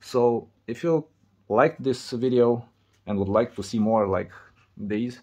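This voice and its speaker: A man with a Romanian accent at a fairly slow pace. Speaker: repair video creator. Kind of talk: tutorial. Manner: halting.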